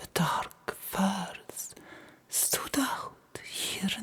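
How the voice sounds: The intonation is lively throughout this natural reading voice.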